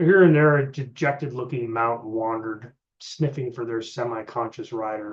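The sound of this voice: Pitch varies in an ordinary way in this unforced reading voice. Behind it, the background is quiet.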